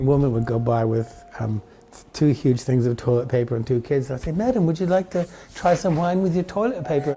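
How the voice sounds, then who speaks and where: Noticeable background noise accompanies a man whose pitch is fairly high. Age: 70s. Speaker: winery owner. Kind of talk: interview. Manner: halting.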